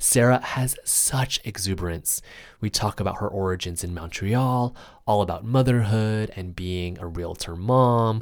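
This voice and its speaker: This man has an unremarkable speaking voice, pitched fairly low. His pitch varies in an ordinary way. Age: 30s. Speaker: podcast host. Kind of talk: interview.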